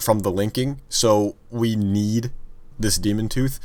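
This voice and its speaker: On a very clean recording with a silent background, a man at medium pitch speaks at a fairly slow pace in a plain, everyday voice. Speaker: gaming youtuber. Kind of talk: casual gaming commentary.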